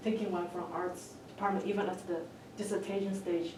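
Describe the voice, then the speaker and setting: There is noticeable background noise and audible room echo around this woman's voice. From China. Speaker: doctoral student panelist. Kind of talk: panel discussion. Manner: halting.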